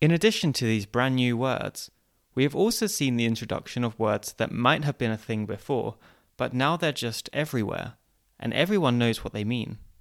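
With ordinary pitch variation and a medium pitch, a man uses an unremarkable speaking voice at a moderate pace. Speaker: podcast host. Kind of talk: scripted narration.

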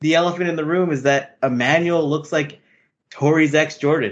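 Moderate pace from a man with a fairly high-pitched voice. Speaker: podcast host. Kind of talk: casual chat. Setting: video call.

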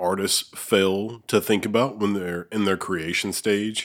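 On a very clean recording with a silent background, a man with an unremarkable speaking voice talks at a moderate pace, fairly low in pitch with ordinary pitch variation. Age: 30s. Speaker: podcast host. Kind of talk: casual chat. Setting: studio.

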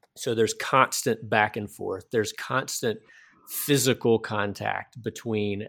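A man with a Southern US accent speaks at a fairly slow pace in a fairly low pitch with a bright, sharp tone. The recording is very clean, with a silent background and a dry, close sound with no echo. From US South. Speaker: podcast host and missionary. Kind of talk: casual interview conversation.

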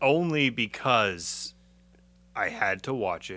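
The speaker is a man with an American accent. His tone is bright and sharp. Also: very clean recording, silent background. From Massachusetts. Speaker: podcast host. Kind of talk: casual chat.

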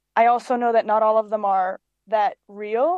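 Moderately paced speech from a woman, flat and monotone in intonation. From Cyprus. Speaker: singer-songwriter. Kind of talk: casual interview.

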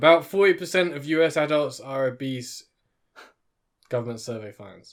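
A man with a British accent, fairly high pitch, ordinary pitch variation, big swings in loudness and a fairly slow pace. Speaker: podcast co-host. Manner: swallows some syllables.

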